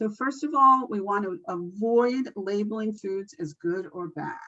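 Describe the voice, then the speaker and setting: A woman's medium-pitched voice with a bright, sharp tone. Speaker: nutrition educator. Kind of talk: training presentation.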